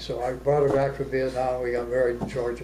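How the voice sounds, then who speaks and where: A man with an American accent can be heard through noticeable background noise. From Arizona. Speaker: war veteran. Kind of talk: interview answer.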